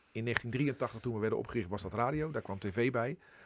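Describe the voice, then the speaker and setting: On a very clean recording with a silent background, a man with an ordinary speaking voice talks at a moderate pace and medium pitch, with ordinary pitch variation. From Netherlands, Rotterdam. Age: 50s. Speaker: editor-in-chief of a regional broadcaster. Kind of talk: radio interview.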